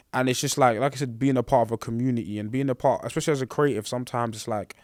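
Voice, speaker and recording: This man talks very fast with a London accent. His pitch sits in the medium range and his intonation stays fairly even. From England, Congolese background. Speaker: podcast host. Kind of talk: casual chat.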